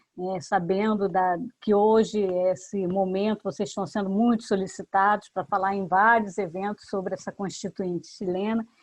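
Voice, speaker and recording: A woman with a normal speaking voice talks at a moderate pace, in a medium pitch with fairly even intonation. She leaves hardly any pauses, and the background is quiet. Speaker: professor, event moderator. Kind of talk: formal seminar opening.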